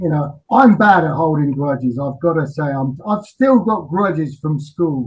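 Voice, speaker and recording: A man speaks with an English accent. His pace is moderate. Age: 60s. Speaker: rock singer. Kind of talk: interview. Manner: halting.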